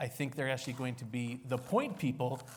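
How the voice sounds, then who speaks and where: With an American accent, a man speaks at a medium pitch in a somewhat breathy voice. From United States. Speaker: think tank senior fellow, panelist. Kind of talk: panel discussion.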